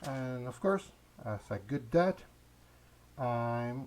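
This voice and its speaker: A man with a non-native accent speaks at a very slow pace. His medium-pitched voice has lively intonation. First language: not English. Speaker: gaming YouTuber. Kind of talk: casual channel update. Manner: halting, many hesitations.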